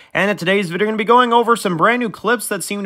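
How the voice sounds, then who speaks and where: Male speech over a quiet background. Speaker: show review host. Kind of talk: casual vlog commentary.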